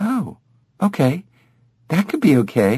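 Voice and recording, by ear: A put-on character voice, dark and mellow with a husky, rough edge, slow-paced, with very wide pitch swings. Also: man, fairly high pitch for a man.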